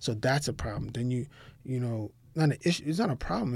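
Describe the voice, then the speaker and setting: A somewhat breathy man speaks at a moderate pace on a very clean recording with a silent background. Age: 30s. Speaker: lawyer who founded his own law firm. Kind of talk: casual interview.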